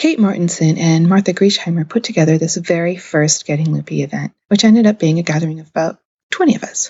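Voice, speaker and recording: A woman with an American accent, a fairly low pitch and a somewhat breathy voice, at a very fast pace. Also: ordinary pitch variation. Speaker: podcast host, crafter. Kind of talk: scripted podcast narration.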